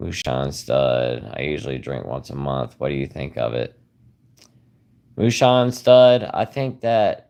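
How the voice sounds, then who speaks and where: A man with a Southern US accent talks at a fairly slow pace in a relaxed tone. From South Carolina. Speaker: YouTuber sharing liver disease recovery. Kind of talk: livestream chat reading comments. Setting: live stream. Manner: relaxed, hesitant with fillers.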